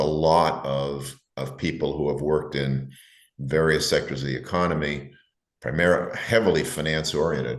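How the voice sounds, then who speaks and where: Vocal fry colors a man's very deep, low voice, delivered monotone and flat at a moderate pace with audible room echo. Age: 70s. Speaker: investment advisor. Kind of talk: interview. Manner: halting.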